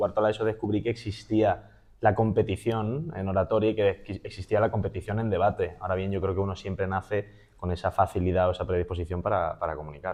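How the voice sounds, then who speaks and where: A man with an unremarkable speaking voice talks at a fairly quick pace in a fairly low pitch, keeping his intonation fairly even. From Spain, Málaga (Andalusia). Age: 20s. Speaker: public speaking champion and trainer. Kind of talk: interview conversation.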